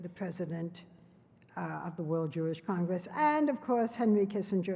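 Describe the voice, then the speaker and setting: A woman speaks at a moderate pace with a medium pitch and lively intonation. She has a normal speaking voice. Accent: American. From United States. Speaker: journalist, TV interviewer. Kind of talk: award presentation speech at a gala dinner.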